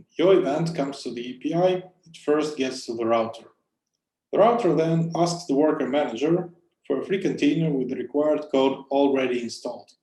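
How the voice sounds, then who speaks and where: A man with a non-native accent, fairly high-pitched, with a dark, mellow tone, ordinary pitch variation, big swings in loudness and a fairly quick pace. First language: not English. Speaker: conference speaker, cloud software engineer. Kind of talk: conference talk.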